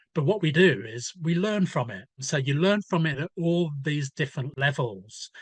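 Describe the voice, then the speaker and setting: A somewhat breathy man at a moderate pace, with a dry, close sound and no echo. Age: 60s. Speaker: newspaper editor and author. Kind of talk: podcast interview.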